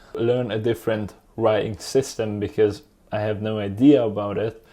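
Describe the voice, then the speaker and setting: A man with a Hungarian accent talks at a medium pitch, his intonation fairly even. His tone is dark and mellow, and the background is quiet. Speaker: YouTuber, language learner. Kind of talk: tutorial monologue. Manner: casual, conversational.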